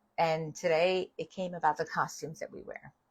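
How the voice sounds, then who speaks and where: A woman with a New York accent speaks at a moderate pace. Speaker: spiritual author and live host. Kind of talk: livestream spiritual talk. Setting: livestream video. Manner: casual, conversational with fillers.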